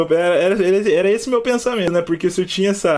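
Speaking at a very fast pace, a man has a high-pitched voice, an animated tone, and ordinary pitch variation. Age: 20s. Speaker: podcast host. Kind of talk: casual chat.

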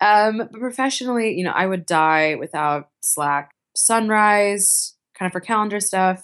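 A woman's unremarkable speaking voice with an American accent, medium pitch, ordinary pitch variation and a fairly slow pace, against a quiet background. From US Northeast, Boston. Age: 20s. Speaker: venture capitalist. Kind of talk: interview.

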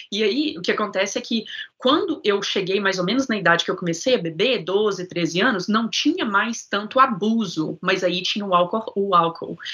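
A woman talks at a moderate pace and a medium pitch, with hardly any pauses. Her tone is bright and sharp, and her intonation is lively. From Minas Gerais, Brazil. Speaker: sound therapist guest. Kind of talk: casual interview, life story.

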